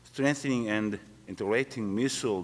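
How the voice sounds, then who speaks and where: This is a man's voice. He speaks with a Korean accent. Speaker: retired military officer, conference panelist. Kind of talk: panel discussion. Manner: halting.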